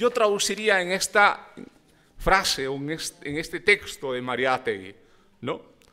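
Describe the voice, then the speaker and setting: A man uses a raised, projected voice, high in pitch with lively intonation. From Peru, Puno (Aymara community, Ilave); Puno, Peru. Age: 50s. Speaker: university lecturer. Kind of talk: lecture. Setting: forum with audience. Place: hall.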